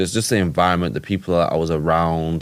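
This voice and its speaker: Talking very fast with ordinary pitch variation, a man with a very deep, low voice and a Yorkshire accent is heard on a very clean recording against a silent background. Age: 20s. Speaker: entrepreneur and boxer. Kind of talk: casual chat.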